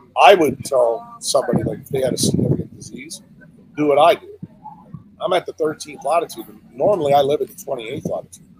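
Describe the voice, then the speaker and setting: A man talks at a very fast pace in a fairly high pitch, with lively intonation, big swings in loudness and noticeable background noise. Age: 60s. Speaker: neurosurgeon and health speaker. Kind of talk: podcast interview.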